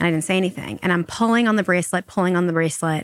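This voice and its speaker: Talking at a very fast pace, a woman speaks with an American accent. The sound is dry and close with no echo, on a very clean recording with a silent background. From Long Island, New York. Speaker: marketing entrepreneur and author. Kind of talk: interview conversation.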